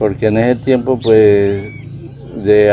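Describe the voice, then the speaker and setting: Against noticeable background noise, the voice stays monotone, with flat intonation. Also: man. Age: 70s. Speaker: rural farmer. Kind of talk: interview answer.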